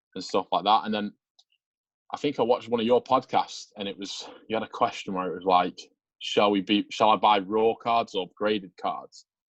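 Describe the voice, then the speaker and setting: In an English accent, a man speaks at a moderate pace with big swings in loudness, the sound dry and close with no echo. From Manchester, England. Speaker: sports card collector. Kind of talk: casual interview chat.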